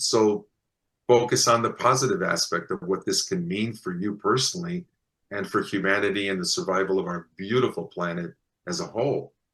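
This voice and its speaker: In a quiet background, a man with an American accent speaks at a moderate pace, his fairly low pitch carrying lively intonation and a bright, sharp tone. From US Midwest. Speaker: contact experiencer. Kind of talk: interview storytelling.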